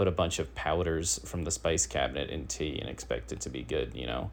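Very deep and low in pitch, a man talks at a moderate pace with vocal fry. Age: 30s. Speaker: comedy podcast host. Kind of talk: comedic news monologue. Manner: halting.

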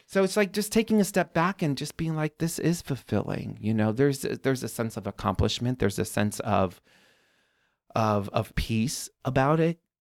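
Speaking with an American accent, a man uses a medium pitch with very wide pitch swings. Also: moderate pace. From Chicago south suburbs. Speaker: garden designer, business owner. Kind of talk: casual interview.

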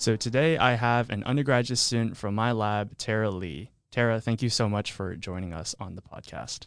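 A man with a medium-pitched, unremarkable speaking voice talks at a moderate pace with ordinary pitch variation and hardly any pauses, against a quiet background. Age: young. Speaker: podcast host. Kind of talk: interview.

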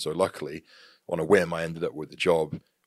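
Speaking at a very fast pace with a very deep, low pitch, a man with a West Country accent is heard in a very clean recording with a silent background. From England, Devon (Tavistock near Plymouth). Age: 30s. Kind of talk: casual interview chat. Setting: office studio.

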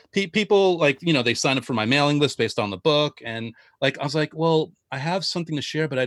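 A man with a plain, everyday voice, fairly high pitch, lively intonation and a fairly quick pace, in a dry, close sound with no echo. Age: 40s. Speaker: podcast host and author. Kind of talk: casual interview.

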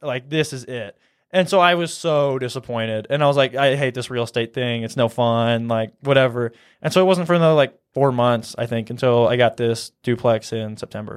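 A man with a Midwestern accent talks at medium pitch with ordinary pitch variation. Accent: general American (Midwestern). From US Midwest (Nebraska). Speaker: real estate investor. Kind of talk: casual interview chat. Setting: studio.

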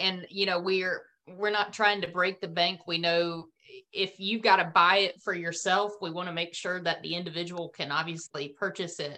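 A woman's fairly low voice in a North Carolina accent, bright and sharp in tone, with monotone, flat intonation. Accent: Southern North Carolina drawl. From US South, rural North Carolina. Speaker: business founder and CEO, former dispatcher. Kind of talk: interview.

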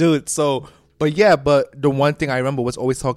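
At a fairly quick pace, a man with a New York accent speaks at medium pitch. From New York City; Puerto Rican heritage. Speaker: podcast host. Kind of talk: casual chat.

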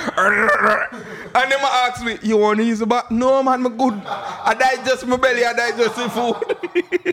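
Man in a Jamaican accent, extremely high-pitched, with a raised, projected voice, a fairly slow pace and noticeable background noise. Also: ordinary pitch variation. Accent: Jamaican Patois. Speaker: musician. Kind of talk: casual chat.

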